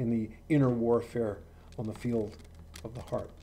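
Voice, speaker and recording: Here a man speaks in a dark, mellow tone. His pace is moderate. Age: 70s. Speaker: author and religious writer. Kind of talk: reading aloud. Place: home room. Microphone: webcam.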